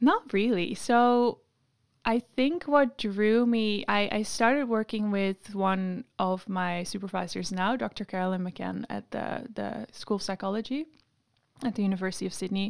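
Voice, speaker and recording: Recorded very cleanly over a silent background, a woman with a Dutch accent speaks with ordinary pitch variation. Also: medium pitch for a woman, moderate pace. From Netherlands, Amsterdam. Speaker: PhD researcher. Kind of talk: interview.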